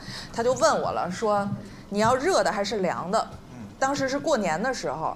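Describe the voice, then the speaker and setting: Very wide pitch swings run through the speech of a woman. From Northeast China. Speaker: podcast guest. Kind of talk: live podcast chat. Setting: stage with audience.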